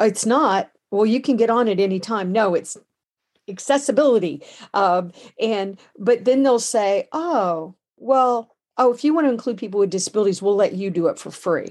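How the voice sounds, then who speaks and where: A woman with an American accent speaks in a fairly high voice, an ordinary speaking voice. Her moderate pace and lively intonation come through over a quiet background. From United States. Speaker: podcast co-host. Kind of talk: interview. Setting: video call.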